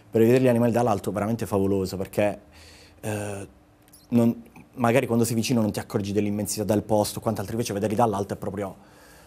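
Very fast male speech at a fairly low pitch, in a monotone, flat intonation broken by long, frequent pauses. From Apulia, Italy (Gioia del Colle, province of Bari); Apulia, Italy. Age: 30s. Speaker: travel blogger. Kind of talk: casual TV interview. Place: studio. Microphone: lapel.

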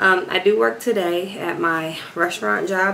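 A woman's fairly low voice with ordinary pitch variation, over noticeable background noise. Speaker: vlogger. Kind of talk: casual vlog chat. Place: home room. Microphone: phone near.

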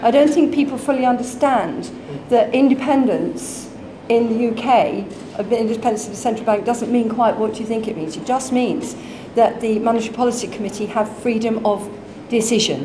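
A woman speaks at a moderate pace with fairly even intonation and a fairly high pitch. Noticeable background noise runs beneath her voice. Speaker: economics blogger and former banker. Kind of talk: panel discussion. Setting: stage with audience. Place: hall.

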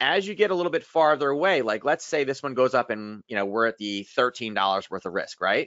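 A man with an American accent talks at a fairly quick pace and medium pitch, hardly pausing at all, while his pitch swings very widely. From US East Coast. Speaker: trading webinar presenter. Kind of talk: casual, conversational teaching. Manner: fast talker.

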